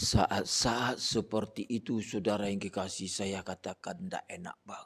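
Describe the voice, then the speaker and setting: A man with a plain, everyday voice, fairly low in pitch and fairly slow in pace, on a very clean recording with a silent background. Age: 60s. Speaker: pastor. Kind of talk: sermon. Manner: conversational.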